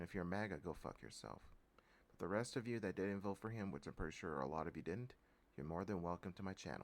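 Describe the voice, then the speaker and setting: A man with an American accent talks at a very fast pace. His voice is very deep and low, with vocal fry. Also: ordinary pitch variation. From Texas. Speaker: political commentary vlogger. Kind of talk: political rant. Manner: animated.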